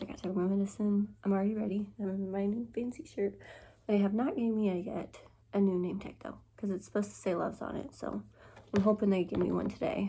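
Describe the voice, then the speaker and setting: A woman's medium-pitched voice comes across dark, mellow and somewhat breathy, with ordinary pitch variation. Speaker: vlogger, fast food worker. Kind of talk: casual vlog.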